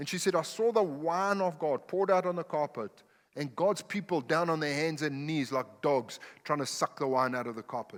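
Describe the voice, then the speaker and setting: A man with a non-native accent talks at a moderate pace, his pitch fairly high with ordinary variation. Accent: noticeable foreign. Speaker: pastor. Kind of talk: sermon. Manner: animated.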